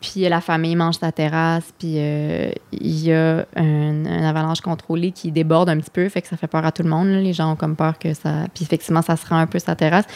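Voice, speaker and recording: Speaking at a fairly quick pace with hardly any pauses, a woman uses a fairly low pitch and monotone, flat intonation, the sound dry and close with no echo. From Quebec City suburbs, Quebec. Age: 30s. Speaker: comedian. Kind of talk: casual chat.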